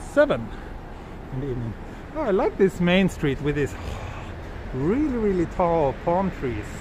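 Over noticeable background noise, a man speaks at a high pitch with very wide pitch swings. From Western country, not Japan. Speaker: travel livestreamer. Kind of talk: live walking stream with chat. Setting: outdoors on city streets. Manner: casual, hesitant with fillers. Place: street. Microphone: phone near.

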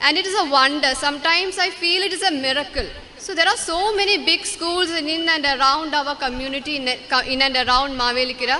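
A woman speaks in a raised, projected voice with ordinary pitch variation. Crowd noise fills the background. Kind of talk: speech. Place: hall. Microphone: podium.

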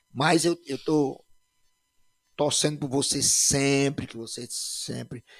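Speaking at a very slow pace, a man leaves long, frequent pauses while his loudness swings widely. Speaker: podcast host and former band musician. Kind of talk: casual chat.

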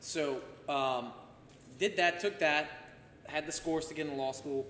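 There is audible room echo and light background noise as a man talks with fairly even intonation. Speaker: podcast guest, former politician. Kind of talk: interview answer. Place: home room.

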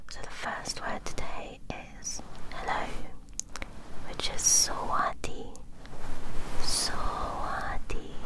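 Long, frequent pauses in a woman's whisper, at a very slow rate. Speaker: ASMR creator. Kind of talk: whispered ASMR language practice. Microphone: studio mic.

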